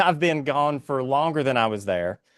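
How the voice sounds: Speech at a moderate pace with an Appalachian accent, over a quiet background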